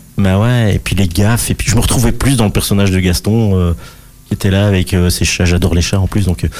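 Noticeable background noise runs under the man as he talks fairly quickly. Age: 50s. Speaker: cartoonist. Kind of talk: radio interview.

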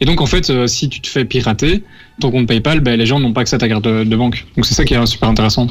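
Ordinary pitch variation runs through very fast speech. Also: man, medium pitch for a man. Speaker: radio co-host. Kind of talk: casual radio show.

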